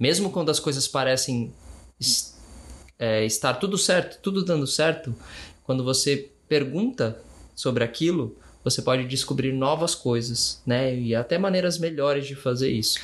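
Against a quiet background, a man talks at a medium pitch, somewhat breathy. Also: ordinary pitch variation, moderate pace. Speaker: podcast co-host. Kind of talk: casual chat. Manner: giggly.

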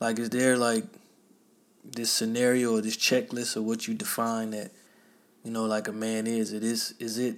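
The man's voice is at a medium pitch and moves at a moderate pace. His intonation is flat and monotone. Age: 30s. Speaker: podcast host. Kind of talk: solo monologue. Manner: casual, conversational.

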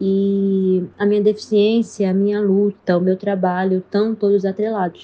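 At a fairly slow pace with hardly any pauses, a woman speaks at medium pitch in a monotone, flat intonation, her loudness very even. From Recife, Pernambuco, Brazil. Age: 20s. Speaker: psychologist and NGO founder. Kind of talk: interview testimony.

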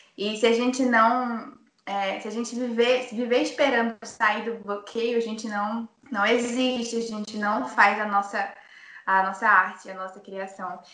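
A woman's fairly high voice with fairly even intonation at a fairly slow pace, in audible room echo. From Manaus, Amazonas, Brazil. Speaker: singer and singing teacher. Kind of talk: casual chat.

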